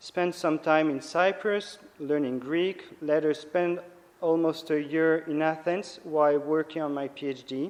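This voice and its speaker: A man's fairly high voice in a French accent, with fairly even intonation. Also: fairly slow pace. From France, Nice. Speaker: priest and theology lecturer. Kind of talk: lecture. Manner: halting.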